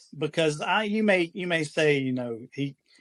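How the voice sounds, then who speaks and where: In a dry, close sound with no echo, a man with a slight Southern US accent speaks at a fairly slow pace and a high pitch. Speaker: furniture flipper, business owner. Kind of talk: podcast interview. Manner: halting, many fillers.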